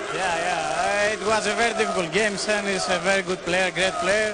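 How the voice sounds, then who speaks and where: With audible room echo and noticeable background noise, a man speaks in a raised, projected voice. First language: Greek. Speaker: pool player. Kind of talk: post-match interview. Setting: live arena with crowd. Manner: halting, hesitant.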